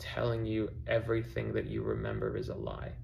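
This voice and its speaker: A man talks fairly quickly, and audible room echo follows his words. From mixed upbringing, mainly Australia (Perth). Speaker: musician. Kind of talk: personal statement video, partly read from notes. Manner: reading aloud from notes.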